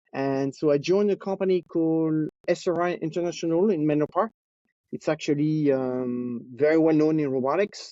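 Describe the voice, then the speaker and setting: A fairly high-pitched man with a French accent, very even in loudness, with ordinary pitch variation. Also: moderate pace. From France (Nice). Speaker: robotics engineering executive. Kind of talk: interview. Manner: hesitant, with many fillers.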